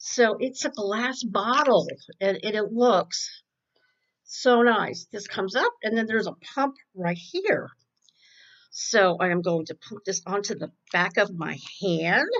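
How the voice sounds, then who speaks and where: Using an unremarkable speaking voice at a medium pitch, a woman talks at a fairly slow pace with lively intonation. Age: 60s. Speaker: beauty vlogger. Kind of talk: makeup tutorial. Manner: casual, chatty.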